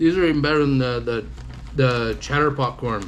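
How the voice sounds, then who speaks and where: With audible room echo and noticeable background noise, a man speaks at a moderate pace, his pitch medium with ordinary variation. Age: 40s. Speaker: food reviewer. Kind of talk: live stream snack review chat. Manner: stammering; casual.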